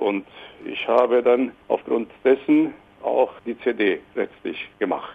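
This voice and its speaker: Noticeable background noise behind a man at a very slow pace. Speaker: singer-songwriter. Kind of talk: interview.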